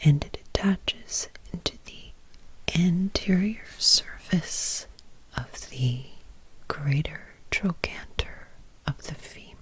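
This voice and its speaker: The speaker is whispering at a very slow pace. Long, frequent pauses break up the speech. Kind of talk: educational anatomy ASMR discussion. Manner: soft-spoken, whispered.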